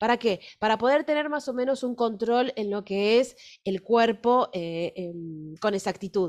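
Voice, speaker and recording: With an Argentine accent, the speaker uses lively intonation at a fairly slow pace against a quiet background. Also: woman. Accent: Argentine Spanish (Rioplatense). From Argentina. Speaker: fashion illustration teacher. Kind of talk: workshop lecture with live drawing. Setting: recorded video workshop, on camera. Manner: hesitant, many fillers. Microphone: webcam.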